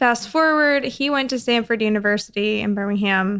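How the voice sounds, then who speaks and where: An unremarkable speaking voice with an American accent, ordinary pitch variation and a moderate pace. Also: woman. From US South. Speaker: podcast guest, small group leader. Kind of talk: casual chat.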